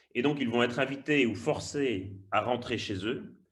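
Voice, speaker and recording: A man's somewhat breathy voice with a slight Belgian accent, at a moderate pace, with audible room echo. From Belgium. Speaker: migration researcher and lecturer. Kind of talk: webinar talk. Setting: online webinar. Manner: hesitant, with repetitions.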